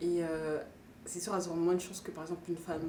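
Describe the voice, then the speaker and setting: A woman speaks with a fairly low pitch and fairly even intonation. Noticeable background noise and audible room echo surround her voice. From northeastern France. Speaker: documentary interviewee. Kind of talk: interview testimony. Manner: hesitant.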